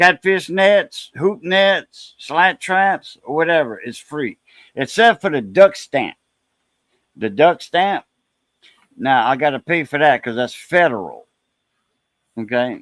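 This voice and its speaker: In a dry, close recording with no echo, a man with a high pitch speaks at a very slow pace, making very wide pitch swings and long, frequent pauses. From Southwest Louisiana. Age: 60s. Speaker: live stream host. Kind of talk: casual chat.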